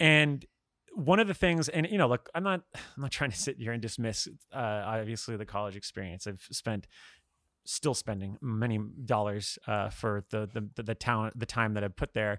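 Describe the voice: At a moderate pace, a man talks in a fairly bright tone at a fairly low pitch, with ordinary pitch variation.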